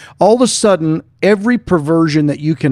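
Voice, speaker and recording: A man speaks in an American accent with lively intonation. The recording is very clean with a silent background, and the sound is dry and close with no echo. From Arkansas. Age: 60s. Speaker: pastor and podcast co-host. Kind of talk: casual chat.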